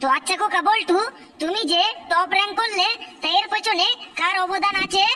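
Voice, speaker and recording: Cartoonish character voice, extremely high in pitch, moving at a moderate pace. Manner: probing, questioning.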